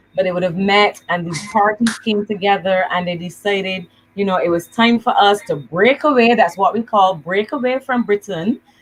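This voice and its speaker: The speaker is somewhat breathy, talking at a moderate pace with ordinary pitch variation. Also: woman. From Barbados. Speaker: evangelist. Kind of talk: casual chat.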